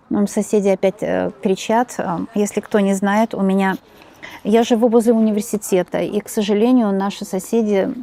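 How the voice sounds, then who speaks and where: A soft-spoken woman of medium pitch talks at a moderate pace with fairly even intonation, the sound dry and close with no echo despite noticeable background noise. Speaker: tarot reader. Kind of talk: tarot reading monologue. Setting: home.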